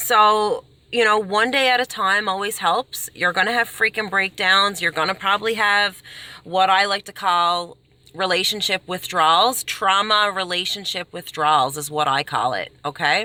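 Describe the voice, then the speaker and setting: A woman speaks loudly at a moderate pace, her tone animated, bright and sharp. Her pitch varies in an ordinary way. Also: medium pitch for a woman. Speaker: self-help vlogger. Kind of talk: casual advice monologue. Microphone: poor quality recording, no microphone.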